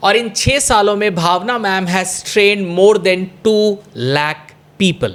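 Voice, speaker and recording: Noticeable background noise sits behind a man with a Bengali accent and a high pitch. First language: Bengali (speaking Hindi). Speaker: talk show host. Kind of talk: podcast interview with Hindi-English code-switching.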